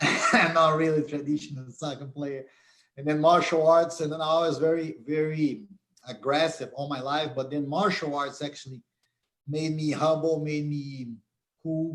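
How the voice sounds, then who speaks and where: A man speaks at a moderate pace in a fairly high pitch, with a Brazilian Portuguese accent. His intonation is flat and monotone. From Brazil, Curitiba. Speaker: MMA conditioning coach and sports science professor. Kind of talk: live stream interview. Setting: live stream.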